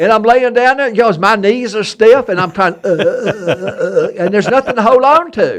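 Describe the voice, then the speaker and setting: A man with an Alabama accent talks at a fairly quick pace, with hardly any pauses and an extremely high pitch. His tone is animated and his pitch variation ordinary. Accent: Southern US (Alabama). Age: 70s. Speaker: historian and treasure hunter. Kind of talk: casual chat.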